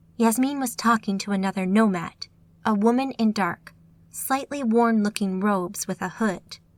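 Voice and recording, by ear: Reading aloud in a natural voice, pitch rising and falling in an ordinary way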